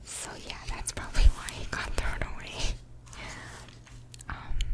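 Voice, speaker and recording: A woman whispers at a fairly slow pace, with big swings in loudness. Noticeable background noise runs underneath. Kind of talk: ASMR whisper ramble and book reading. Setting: close microphone, studio. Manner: whispered, close-mic, casual, chatty.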